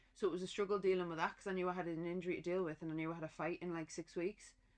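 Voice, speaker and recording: A woman with a Durham accent talks at a very fast pace. Her fairly low pitch holds a monotone, flat intonation. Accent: Durham twang. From northern England, County Durham. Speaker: professional boxer. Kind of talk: casual chat.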